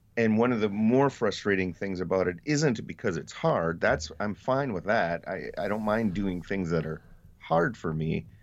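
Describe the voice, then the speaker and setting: A man with an American accent talks in a normal speaking voice at a moderate pace, his fairly low pitch carried by lively intonation. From Wisconsin, US Midwest. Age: 50s. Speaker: newspaper reporter. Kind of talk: casual interview conversation.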